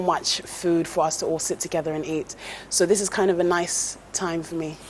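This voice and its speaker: A woman's fairly low, flat monotone at a fairly quick pace, with noticeable background noise. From England. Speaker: TV presenter and former teacher. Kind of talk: interview.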